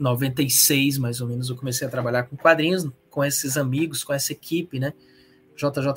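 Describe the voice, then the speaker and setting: With an unremarkable speaking voice, this man uses fairly even intonation and a fairly high pitch at a moderate pace. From Ceará, Brazil. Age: 40s. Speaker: comic book artist and teacher. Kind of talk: interview.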